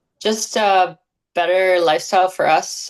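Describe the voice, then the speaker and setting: A woman speaks in a flat, monotone way. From western Canada. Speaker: Olympic skeleton athlete. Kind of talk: interview.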